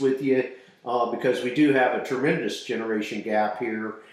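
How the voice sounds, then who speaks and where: There is noticeable background noise and audible room echo as a man talks with an American accent. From southern Colorado. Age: 60s. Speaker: podcast co-host. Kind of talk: casual chat. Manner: halting.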